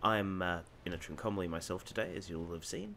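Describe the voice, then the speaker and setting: Quietly and at a moderate pace, a man speaks in a very deep, low voice with ordinary pitch variation. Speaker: gaming commentator. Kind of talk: gameplay commentary.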